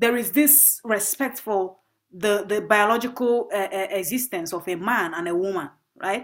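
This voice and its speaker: Over a silent background on a very clean recording, a woman with a Nigerian accent speaks with ordinary pitch variation. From northern Nigeria, Bauchi State. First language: Igbo. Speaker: performance artist and graduate student. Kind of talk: interview.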